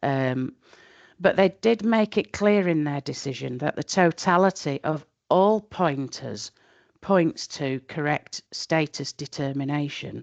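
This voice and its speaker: Lively intonation in a Yorkshire accent at a fairly slow pace, with a dry, close sound, no echo and a quiet background. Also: woman, very deep, low pitch for a woman. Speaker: tax expert presenting a webinar. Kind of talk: webinar lecture. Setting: online webinar.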